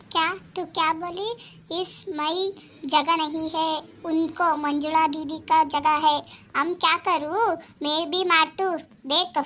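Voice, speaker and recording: In a cartoonish character voice, a woman speaks at an extremely high pitch, monotone and flat, at a fairly slow pace. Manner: mixes Hindi and Kannada.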